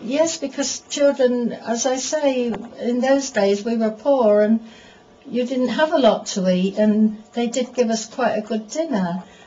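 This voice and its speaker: A high-pitched woman talks at a fairly slow pace, with noticeable background noise behind her. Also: ordinary pitch variation. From England. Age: old. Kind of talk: interview answer. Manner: conversational, reminiscing.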